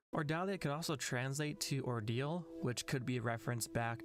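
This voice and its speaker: With music in the background, a man talks at a moderate pace and fairly high pitch, using ordinary pitch variation. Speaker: video game commentator. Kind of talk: scripted narration.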